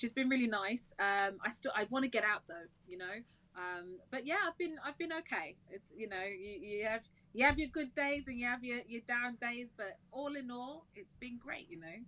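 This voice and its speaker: With a high pitch and a bright, sharp tone, a woman speaks at a moderate pace, her intonation lively and her loudness swinging widely. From Wolverhampton, English West Midlands. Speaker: singer and worship leader. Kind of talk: casual interview chat. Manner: bubbly, upbeat.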